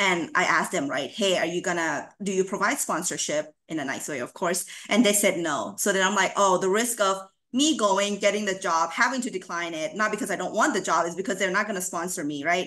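A woman at a fairly quick pace with lively intonation over a quiet background. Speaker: university housing administrator. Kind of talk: conference presentation. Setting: video call. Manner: upbeat. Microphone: video call.

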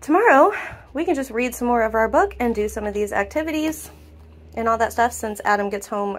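Light background noise accompanies a woman speaking fairly quickly. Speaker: family vlogger. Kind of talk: casual vlog chat. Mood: grateful, cheerful. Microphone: phone near.

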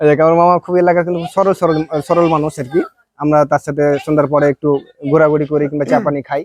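This man has an unremarkable speaking voice with a fairly high pitch. His intonation stays fairly even. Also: dry, close sound with no echo. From Bangladesh, Rajshahi. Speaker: construction contractor and vlogger. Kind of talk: casual site-tour vlog.

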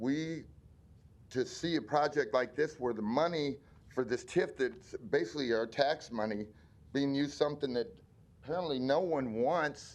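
This man's voice sits fairly high, with ordinary pitch variation. He talks at a moderate pace, broken by long, frequent pauses. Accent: American. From Omaha, Nebraska. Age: 60s. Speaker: community member speaking at public hearing. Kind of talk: public hearing testimony. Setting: city planning board meeting. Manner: halting.

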